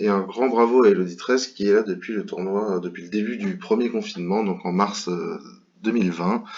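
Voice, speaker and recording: A man with a fairly low pitch talks at a fairly quick pace with ordinary pitch variation. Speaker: bridge commentator. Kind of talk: tutorial commentary over gameplay. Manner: hesitant, many fillers.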